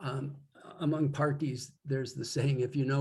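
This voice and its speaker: A man with an American accent speaks at a medium pitch. His voice is somewhat breathy. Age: 70s. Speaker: poet with Parkinson's. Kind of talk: interview conversation. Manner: halting.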